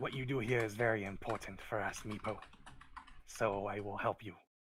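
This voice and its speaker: In a put-on character voice, a man speaks raspy and at a fairly low pitch, keeping a moderate pace. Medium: actual play.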